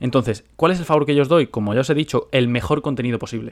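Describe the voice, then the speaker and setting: Speaking at a fairly quick pace, a man with a fairly high pitch and ordinary pitch variation is heard on a very clean recording with a silent background. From Spain. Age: 20s. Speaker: podcast host and finance investor. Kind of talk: solo monologue podcast.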